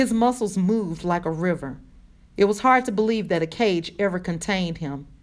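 A natural reading voice, its pitch shifting in an ordinary way

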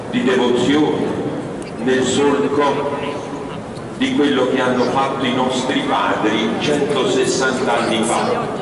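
This man talks at a very slow pace. Strong room echo and noticeable background noise surround his voice. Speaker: priest addressing the bearers. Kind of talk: sermon. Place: church.

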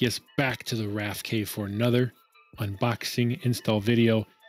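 A man talks while faint music sits in the background. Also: dry sound with no echo. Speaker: motovlog youtuber. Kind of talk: casual unboxing tutorial. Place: home room. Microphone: studio mic.

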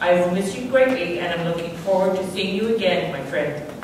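A woman speaks at a fairly low pitch amid noticeable background noise. Strong room echo surrounds her voice. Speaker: memorial service speaker. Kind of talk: reading aloud. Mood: solemn, grieving. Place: church.

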